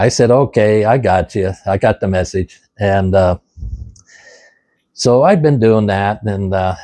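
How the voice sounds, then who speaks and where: A man's fairly low, dark, mellow voice at a fairly slow pace, with long, frequent pauses, ordinary pitch variation, a dry, close sound with no echo, and a quiet background. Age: 70s. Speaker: ham radio video creator. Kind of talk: casual talk to camera while cooking. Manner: halting, many fillers.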